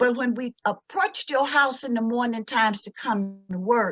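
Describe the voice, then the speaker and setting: A woman with a Mississippi accent speaks at a fairly slow pace in a fairly high pitch, her tone bright and sharp and her intonation lively. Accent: Southern US, Mississippi. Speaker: cultural anthropologist and educator; civil rights activist. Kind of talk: lecture with slides.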